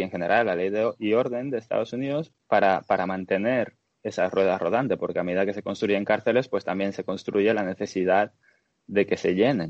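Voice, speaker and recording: A man speaks at a moderate pace in a fairly low pitch, with ordinary pitch variation. His is an unremarkable speaking voice. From Dominican Republic. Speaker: podcast guest. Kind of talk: casual discussion.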